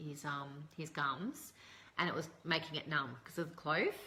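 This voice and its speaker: A woman with an Australian accent, her very deep, low pitch and fairly even intonation at a moderate pace. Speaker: essential oils presenter. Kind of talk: live stream tutorial. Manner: casual with many fillers.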